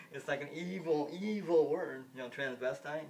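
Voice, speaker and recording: A man talks with an American accent. There is audible room echo in the recording. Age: 50s. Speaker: vlogger. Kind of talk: casual monologue. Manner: halting.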